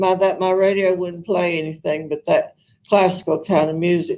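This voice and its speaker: Speaking at a fairly quick pace, a woman uses a medium pitch. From US South, Arkansas. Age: old. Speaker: retired opera singer, senior living resident. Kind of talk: interview. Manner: halting.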